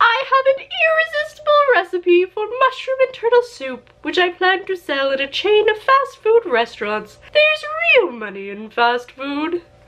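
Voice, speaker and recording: Doing a put-on character voice, a woman speaks at a moderate pace at an extremely high pitch, swinging very widely in pitch. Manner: pompous, boastful.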